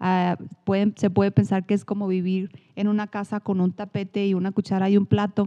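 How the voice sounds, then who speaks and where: Speaking at a fairly quick pace, a woman with a medium pitch and a dark, mellow tone is heard in a dry, close sound with no echo against a quiet background. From northern Mexico, Chihuahua. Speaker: psychologist, podcast co-host. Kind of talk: casual chat. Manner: animated.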